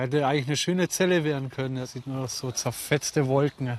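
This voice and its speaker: Moderate pace, medium pitch and fairly even intonation from a man. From Upper Bavaria, Fürstenfeldbruck. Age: 30s. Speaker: amateur storm chaser, tradesman. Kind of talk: casual chat.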